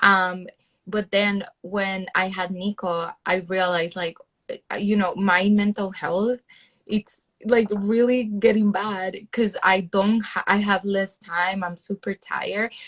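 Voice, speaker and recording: A woman with a Spanish accent, in monotone, flat intonation at a very slow pace, with a dry, close sound and no echo. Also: medium pitch for a woman. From El Salvador. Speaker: PhD student and content creator. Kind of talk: interview.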